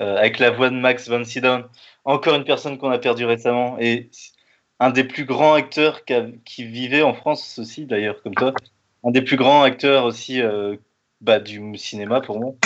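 A man with a plain, everyday voice talks at a moderate pace, his medium pitch fairly even in intonation. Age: 30s. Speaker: podcast host. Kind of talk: interview.

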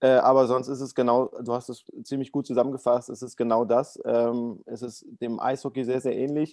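The sound is close and dry, without any echo. Its tone comes across dark and mellow. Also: man. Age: 30s. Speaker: para ice hockey goalie. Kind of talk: interview.

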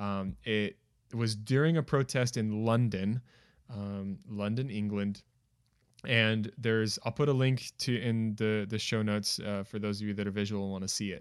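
Heard in a very clean recording with a silent background, a man with an unremarkable speaking voice and an American accent talks at a moderate pace, fairly low in pitch, with fairly even intonation. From United States. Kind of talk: casual chat.

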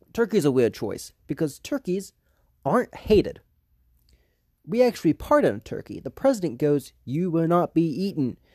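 The speaker has an American accent and a moderate pace. The recording is very clean, with a silent background. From US South. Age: young. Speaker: comedic podcaster. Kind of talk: comedic monologue. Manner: halting, many fillers.

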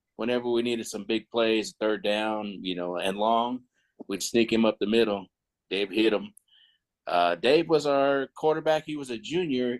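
This is a plain, everyday voice from a man with an American accent. He has a medium pitch and lively intonation at a moderate pace. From Northern California (Stockton). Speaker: former high school football player, Air Force veteran. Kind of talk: interview. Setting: remote call.

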